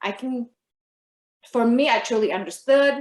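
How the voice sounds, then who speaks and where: At a moderate pace, a woman speaks in a high pitch with ordinary variation and a slight Filipino accent. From Philippines, then Okinawa, Japan. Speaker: podcast guest. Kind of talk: casual chat.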